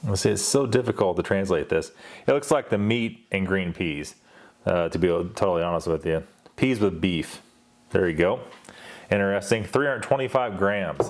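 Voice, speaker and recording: A man's fairly low voice with lively intonation at a moderate pace, broken by long, frequent pauses. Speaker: ration reviewer. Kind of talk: unboxing review. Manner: casual, conversational.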